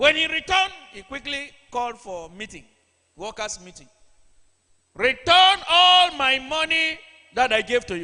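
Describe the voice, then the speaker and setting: A man speaks in a raised, projected voice at an extremely high pitch, with very wide pitch swings, big swings in loudness and long, frequent pauses. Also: fairly slow pace. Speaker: church preacher. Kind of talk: sermon delivered to a congregation.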